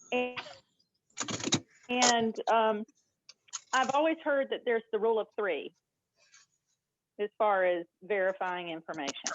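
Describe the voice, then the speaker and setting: In a Southern US accent, a woman talks at a fairly high pitch with lively intonation, going at a fairly slow pace with long, frequent pauses. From US South, Georgia. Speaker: class participant. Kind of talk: class discussion comment.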